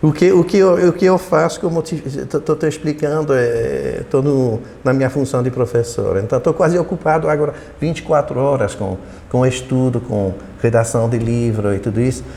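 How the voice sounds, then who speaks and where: There is noticeable background noise behind this man. His fairly high voice has lively intonation. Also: moderate pace. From Belgium. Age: 70s. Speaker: retired political science professor. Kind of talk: interview. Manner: halting, many repetitions.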